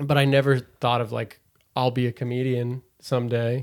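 A man speaks at a fairly quick pace in a medium pitch, on a very clean recording with a silent background. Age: 20s. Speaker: stand-up comedian. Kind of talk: casual chat.

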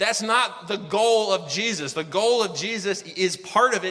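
A raised, projected voice at a moderate pace with ordinary pitch variation and noticeable background noise. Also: man. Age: 40s. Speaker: pastor. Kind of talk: sermon. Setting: church. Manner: casual and conversational, with fillers.

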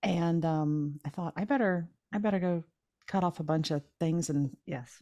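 In an American accent, a woman with a fairly low, dark and mellow voice speaks with ordinary pitch variation, recorded dry and close with no echo, very clean, over a silent background. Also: moderate pace. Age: 50s. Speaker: podcast host and shepherdess farmer. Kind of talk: casual interview chat.

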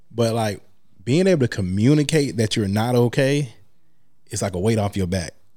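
In a very clean recording with a silent background, a man speaks at a moderate pace and medium pitch with a dark, mellow tone and lively intonation, leaving long, frequent pauses. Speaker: guest. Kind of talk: casual chat.

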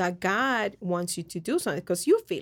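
On a very clean recording with a silent background, a woman speaks with a Spanish accent. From Colombia. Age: young. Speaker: podcast co-host. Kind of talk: personal testimony.

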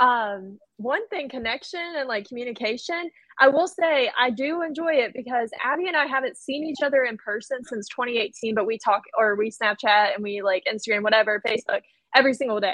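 High-pitched woman's voice in an American accent, fairly quick and lively in intonation. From North Carolina. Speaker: teacher. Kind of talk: roundtable discussion.

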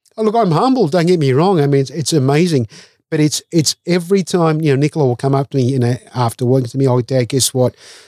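A man with an Australian accent at a very fast pace, dark and mellow in tone, with ordinary pitch variation and very even loudness, in a dry, close sound with no echo. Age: 50s. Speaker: chef and caterer. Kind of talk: casual interview.

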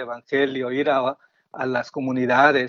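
A man talks at a very slow pace. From Guatemala. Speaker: secular franciscan lay member. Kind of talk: testimony.

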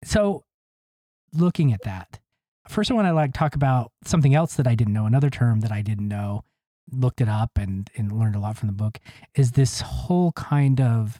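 A man speaks with a dark, mellow tone and ordinary pitch variation. There are long, frequent pauses, and the sound is dry and close with no echo. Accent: American. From Utah, US West. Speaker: podcast host and author. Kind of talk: interview.

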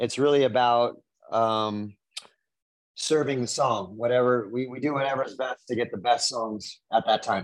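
A man with a normal speaking voice talks at medium pitch and a moderate pace, with fairly even intonation. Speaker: rock singer. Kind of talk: interview.

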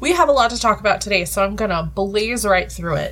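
A woman speaks over noticeable background noise. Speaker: game master of a tabletop roleplaying podcast. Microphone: more echoey than usual.

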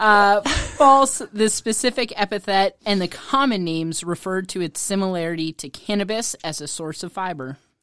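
In an ordinary speaking voice, a woman talks at medium pitch and a moderate pace with lively intonation, big swings in loudness and hardly any pauses, in a dry, close sound with no echo. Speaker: quiz presenter, producer. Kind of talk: reading quiz clues.

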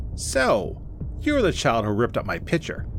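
A man does a put-on character voice at a moderate pace, with hissing and clear background noise. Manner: hissing, leering.

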